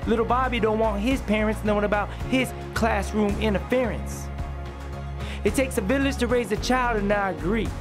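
The speech moves at a fairly quick pace while music plays in the background. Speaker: spoken word poet; parent. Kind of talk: spoken word poetry performance.

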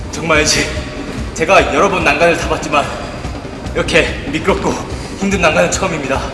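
A man at a fairly quick pace, fairly even intonation, music playing in the background. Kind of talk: mock documentary commentary. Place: classroom. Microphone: phone near.

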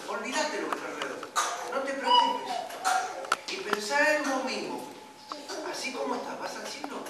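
The speech comes at a moderate pace against loud background noise. Room echo is audible throughout. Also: man. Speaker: lay preacher. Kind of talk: sermon. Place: church. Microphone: camera far.

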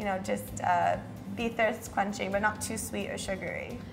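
Clear music sits in the background as the speech moves at a moderate pace. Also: woman. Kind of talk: interview answer. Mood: friendly, smiling. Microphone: lapel.

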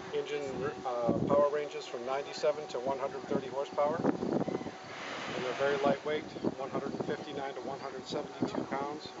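A man's very slow speech over loud background noise. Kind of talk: interview answer. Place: open country.

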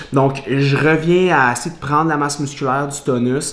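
A man talks fairly slowly with fairly even intonation, and audible room echo surrounds his voice. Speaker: fitness vlogger. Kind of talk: casual vlog chat. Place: kitchen. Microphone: camera far.

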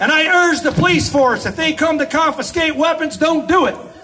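A man speaks at a moderate pace. Light background noise can be heard. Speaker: speaker. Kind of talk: political speech. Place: street.

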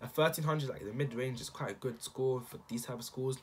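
A somewhat breathy voice at a very fast pace, with ordinary pitch variation. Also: man. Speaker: student giving study advice. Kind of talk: casual talk to camera. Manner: unscripted, hesitant. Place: home room. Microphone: webcam.

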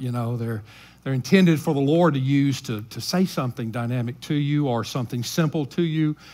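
The man talks fairly quickly, his pitch varying in an ordinary way. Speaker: senior pastor. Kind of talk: sermon. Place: church.

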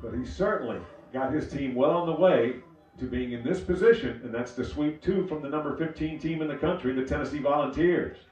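A man with a fairly high pitch and ordinary pitch variation speaks fairly quickly while noticeable background noise runs underneath. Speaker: sports commentator. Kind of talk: live baseball play-by-play commentary. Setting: streamed broadcast. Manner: fluent, steady, descriptive, building tension at key pitches.

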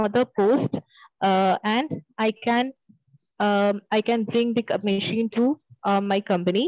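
A woman talks with ordinary pitch variation. The sound is dry with no echo, against a quiet background. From Kerala, Trivandrum; Kerala. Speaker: bank job candidate; candidate. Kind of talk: mock group discussion practice. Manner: halting. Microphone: video call.

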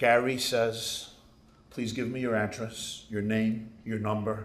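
A man speaks at a fairly slow pace. Echo from the room can be heard. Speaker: rabbi. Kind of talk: sermon. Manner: animated. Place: hall. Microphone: podium.

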